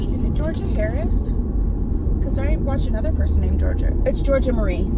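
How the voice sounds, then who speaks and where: Loud noise fills the background behind a woman's voice. There is no echo, and the sound is dry. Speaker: beauty vlogger. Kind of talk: casual vlog chat. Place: car. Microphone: phone near.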